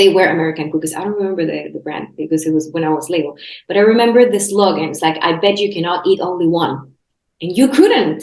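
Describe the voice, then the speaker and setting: At a very fast pace, a woman speaks in a fairly low pitch with ordinary pitch variation. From Chile. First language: Spanish. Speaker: health coach and podcast host. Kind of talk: casual interview chat. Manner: halting, many restarts.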